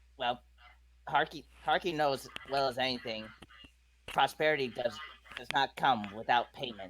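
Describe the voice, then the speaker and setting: A man's put-on character voice at medium pitch, moderate pace, with long, frequent pauses. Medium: actual play. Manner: speaks of self in third person, broken grammar.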